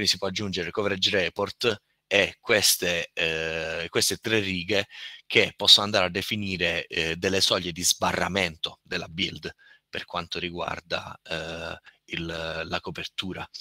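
Bright and sharp in tone yet very deep in pitch, a man speaks fairly slowly in a flat monotone, the recording very clean, dry and close, with no echo and a silent background. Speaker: software testing speaker. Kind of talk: technical presentation.

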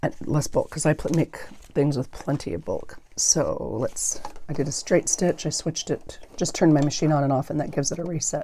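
With light background noise behind her, a woman speaks at a fairly quick pace. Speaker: paper craft YouTuber. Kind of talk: crafting tutorial. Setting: home craft room with clip-on microphone. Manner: mumbles at times; casual, rambling. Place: home room.

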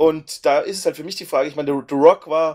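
A man with a normal speaking voice talks at a fairly quick pace, his fairly high pitch held to a fairly even intonation. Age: 30s. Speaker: podcast co-host. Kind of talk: casual chat. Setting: online voice chat.

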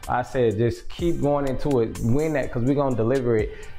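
Faint music plays in the background while a man speaks at a fairly quick pace. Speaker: vlogger giving house tour. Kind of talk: casual vlog chat. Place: garage. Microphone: camera far.

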